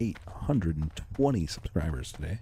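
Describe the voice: A man speaks quietly at a moderate pace, his tone dark and mellow.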